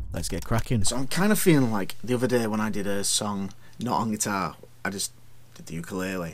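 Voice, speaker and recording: A man with a northern English accent speaks fairly quickly at a fairly low pitch, his loudness swinging widely and his pitch moving in an ordinary way, with audible room echo around him. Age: 40s. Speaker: singer-songwriter. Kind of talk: vlog.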